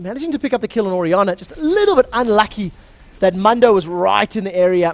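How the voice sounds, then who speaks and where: A man speaks with a South African accent at a high pitch. His intonation is lively and his pace fairly quick. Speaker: esports shoutcaster. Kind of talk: live commentary. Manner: animated.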